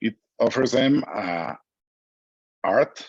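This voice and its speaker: Recorded with a dry, close sound and no echo, a man speaks in a Mexican accent. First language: Spanish. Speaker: business executive. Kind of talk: interview. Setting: video call. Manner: halting.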